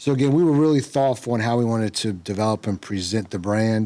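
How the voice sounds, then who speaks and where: Here a man speaks with an American accent at a very fast pace. His tone is dark and mellow. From Washington DC area (Prince George's County). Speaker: real estate entrepreneur. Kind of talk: casual chat.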